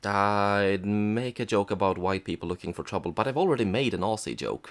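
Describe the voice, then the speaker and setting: A quiet man, fairly low in pitch, at a fairly quick pace with ordinary pitch variation. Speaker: film reviewer. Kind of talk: comedic review narration. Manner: quiet, subdued.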